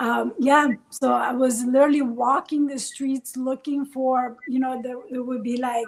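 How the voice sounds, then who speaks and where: Pitched high, a woman talks with fairly even intonation. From Italy (Bologna), born in Iran. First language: Italian. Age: 40s. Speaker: life coach and podcast co-host. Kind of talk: personal life story in a casual interview. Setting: live stream.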